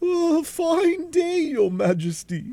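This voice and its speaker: This man puts on a character voice pitched extremely high. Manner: timid, meek.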